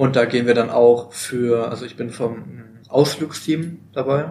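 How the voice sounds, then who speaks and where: In an unremarkable speaking voice, a man of medium pitch talks at a fairly slow pace with fairly even intonation. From Baden-Württemberg, Germany. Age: 20s. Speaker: voluntary social year worker in a kindergarten. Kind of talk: casual interview. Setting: at a seminar.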